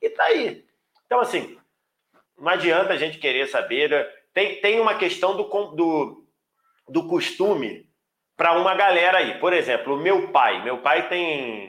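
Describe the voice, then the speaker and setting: The speaker talks at a fairly slow pace with lively intonation, leaving long, frequent pauses. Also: man, high pitch for a man. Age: 40s. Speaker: football commentator. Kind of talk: interview.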